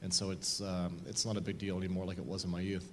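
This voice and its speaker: A man with an American accent at a fairly quick pace, audible room echo around him. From Southern Oregon, US Northwest. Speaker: blind mountain climber. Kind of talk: interview before church audience.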